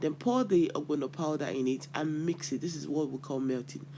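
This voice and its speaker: This man speaks with a Nigerian accent at a fairly high pitch. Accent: Nigerian (Yoruba) English. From Nigeria, Yoruba. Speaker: cooking channel host. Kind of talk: cooking tutorial. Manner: casual, with hesitations.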